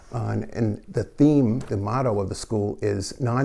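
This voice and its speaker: With a New York accent, a man speaks slowly-ish at a fairly slow pace, his medium pitch in a dark, mellow tone and fairly even intonation. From New York City (Queens). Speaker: parish lay group member. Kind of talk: interview.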